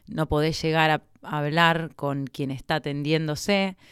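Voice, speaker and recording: A woman with a very deep, low pitch and fairly even intonation, in a Rioplatense accent, on a very clean recording with a silent background. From Argentina, Buenos Aires province. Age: 30s. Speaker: doctor. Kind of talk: casual interview.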